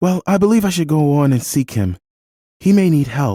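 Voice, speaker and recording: A man uses a put-on character voice, fairly high in pitch, with very wide pitch swings at a moderate pace. The sound is dry and close with no echo, in a very clean recording with a silent background. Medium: read story.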